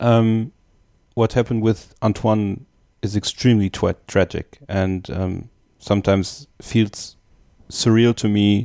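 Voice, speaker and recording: Over a very clean recording with a silent background, a man with a German accent speaks very slowly in a fairly low, dark, mellow voice, his intonation fairly even and broken by long, frequent pauses. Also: dry, close sound with no echo. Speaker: podcast host. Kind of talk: interview.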